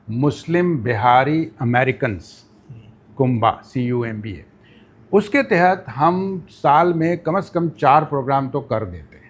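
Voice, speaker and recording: This man has an ordinary speaking voice, fairly high in pitch for a man, with lively intonation. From Pakistan, Karachi. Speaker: podcast guest. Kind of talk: interview.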